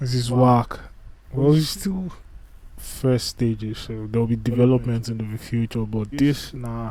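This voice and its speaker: Fairly slow speech from a man, dark and mellow in tone, pitch varying in an ordinary way. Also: medium pitch for a man. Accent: non-native. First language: not English. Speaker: YouTuber reacting to videos. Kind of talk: casual live reaction commentary. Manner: casual, halting with restarts.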